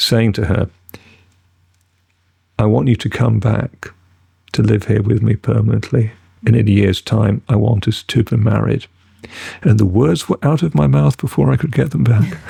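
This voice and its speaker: A man with a British accent, fairly low pitch, lively intonation, vocal fry, very even loudness, long and frequent pauses, and a dry, close sound with no echo. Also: moderate pace. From Britain. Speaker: actor. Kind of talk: podcast interview answer.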